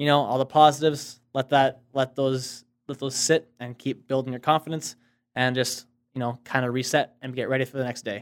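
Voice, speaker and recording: A plain, everyday voice talks at a fairly quick pace with fairly even intonation, the sound dry and close with no echo. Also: man, medium pitch for a man. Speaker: realtor. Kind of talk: casual chat.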